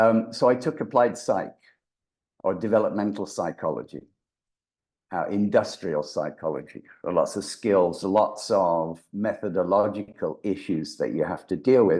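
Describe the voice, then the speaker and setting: A man with a mild English accent and a dark, mellow tone speaks at a fairly low pitch and a fairly slow pace with ordinary pitch variation, against a quiet background. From England. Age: 70s. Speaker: voice actor and brain reprogramming expert. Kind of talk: interview.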